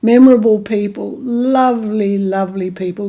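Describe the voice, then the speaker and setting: With an Australian accent, a woman at medium pitch sounds somewhat breathy and dark, mellow in tone, with ordinary pitch variation. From Margaret River, Western Australia. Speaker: local historian and former eco-tourism operator. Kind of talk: oral history interview answer.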